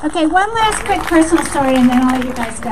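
Crowd noise fills the background. A woman speaks with very wide pitch swings. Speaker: event organizer and emcee. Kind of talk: rally speech. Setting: outdoors. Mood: earnest, rousing close. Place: street. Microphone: handheld.

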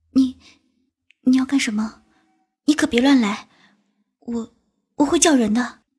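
A shaky, high-pitched put-on character voice moves at a moderate pace, broken by long, frequent pauses. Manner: nervous, fearful.

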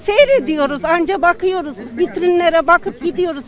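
Crowd noise sits in the background of this dry recording with no echo. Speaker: interviewee. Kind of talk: interview answer. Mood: frustrated, complaining. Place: street. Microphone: handheld.

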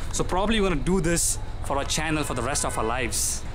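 A man talks at a fairly quick pace with ordinary pitch variation. Noticeable background noise runs behind him. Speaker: exploration vlogger. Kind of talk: casual vlog chat. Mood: nervous, excited. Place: hall. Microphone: phone near.

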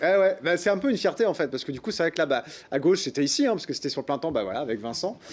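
A man's fairly high-pitched voice at a very fast pace, with very wide pitch swings. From France, Le Mans (Sarthe). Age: 40s. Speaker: TV presenter and festival organizer. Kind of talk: interview. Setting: studio. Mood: relaxed, cheerful. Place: studio.

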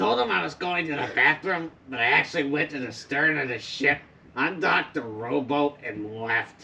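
A cartoonish character voice at a low-to-middle pitch. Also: moderate pace. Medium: puppet show. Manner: scheming, self-talking.

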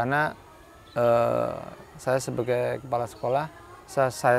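With a Javanese accent, a man speaks in a relaxed tone and fairly even intonation, the sound dry with no echo and light background noise behind him. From Central Kalimantan, Javanese family. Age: 30s. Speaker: school principal. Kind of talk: interview. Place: garden.

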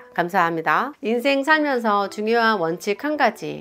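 A woman with a normal speaking voice talks at a fairly slow pace, her fairly high pitch carried by lively intonation. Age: 40s. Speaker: vlogger. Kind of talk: casual talk to camera, reading comments aloud. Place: home room. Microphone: lapel.

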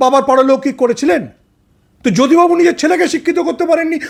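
Extremely high-pitched, this man sounds animated. His pitch varies in an ordinary way. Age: 50s. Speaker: political commentator. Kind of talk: interview.

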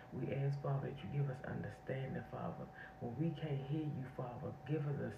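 A woman's very deep, low voice at a moderate pace, with ordinary pitch variation and noticeable background noise. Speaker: online prayer channel host. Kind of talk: fervent spontaneous intercessory prayer. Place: home room. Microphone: phone near.

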